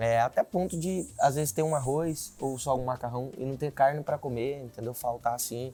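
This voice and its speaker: Hardly pausing, a man speaks at a moderate pace in a dark, mellow tone of medium pitch with ordinary pitch variation. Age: 20s. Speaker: political candidate. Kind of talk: interview.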